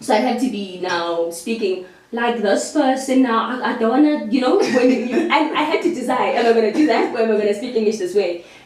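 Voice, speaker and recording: Fairly high-pitched woman with a South African accent, fairly quick and lively in intonation, with audible room echo and noticeable background noise. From South Africa, Eastern Cape and Cape Town. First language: Xhosa. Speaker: actress. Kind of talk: casual interview chat.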